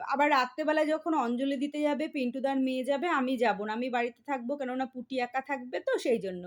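A woman's high voice, its pitch varying in an ordinary way. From West Bengal, India (Barasat). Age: middle-aged. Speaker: family vlogger. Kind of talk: casual vlog narration. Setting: at home and outdoors at a temple.

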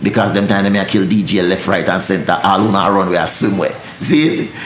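The man talks with a Jamaican accent and lively intonation. Audible room echo and light background noise are present. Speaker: dancehall deejay. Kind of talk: interview answer. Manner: fast-talking, energetic. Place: studio.

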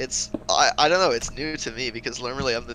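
Through noticeable background noise, a man talks at a moderate pace, medium in pitch with ordinary pitch variation. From Netherlands. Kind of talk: casual chat while gaming.

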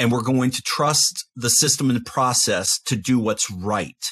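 A man speaks against a quiet background. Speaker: university professor; podcast guest or host discussing scripture. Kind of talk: Bible study discussion. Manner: humorous. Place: home room. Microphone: studio mic.

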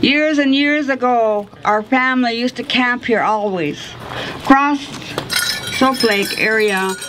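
A woman with a high pitch and an American accent speaks fairly slowly against noticeable background noise. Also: ordinary pitch variation. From Colville Tribe, Washington State, USA. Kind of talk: public speech at a statue unveiling. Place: waterside. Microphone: podium.

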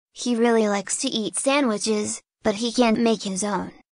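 A cartoonish character voice that sounds female is pitched fairly high and moves at a moderate pace.

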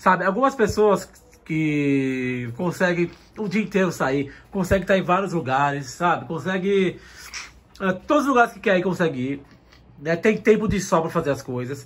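Light background noise is present as a man speaks at a high pitch with lively intonation. He leaves long, frequent pauses. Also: moderate pace. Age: 30s. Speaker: manga YouTuber. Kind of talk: personal vlog. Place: home room. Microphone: phone near.

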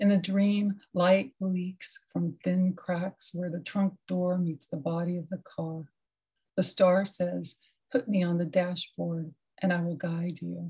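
A woman speaks very slowly with a fairly low pitch, a dark, mellow, somewhat breathy tone and monotone, flat intonation. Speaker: poet. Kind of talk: poetry reading.

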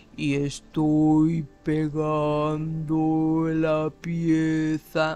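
A put-on character voice at a middle pitch, monotone and flat, very slow, with faint music in the background

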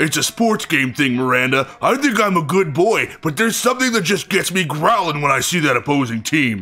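A man does a put-on character voice with a fairly high pitch. He goes at a fairly quick pace with hardly any pauses over light background noise. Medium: game stream. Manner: earnest, simple, friendly.

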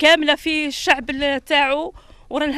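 A moderate pace in an Algerian accent. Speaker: local resident, parent. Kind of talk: street interview complaint.

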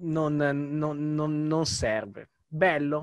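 The speaker is a man with a fairly high pitch. Behind him the background is quiet. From Italy. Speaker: youtuber; podcast host. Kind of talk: interview. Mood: warm, reflective. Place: home room. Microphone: studio mic.

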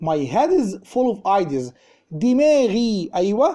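A man speaks at a fairly slow pace in a high voice with a dark, mellow tone. His pitch swings very widely, and the background is quiet. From Egypt. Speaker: English teacher. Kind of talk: lecture. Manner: animated. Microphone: phone near.

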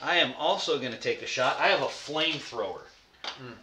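The man talks at a moderate pace. Audible room echo and light background noise surround him. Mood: relaxed, playful. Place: home room. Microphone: camera far.

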